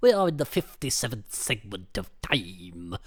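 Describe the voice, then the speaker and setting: A man puts on a hissing character voice at a fairly low pitch. He keeps a moderate pace on a very clean recording with a silent background. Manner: stilted, formal announcement.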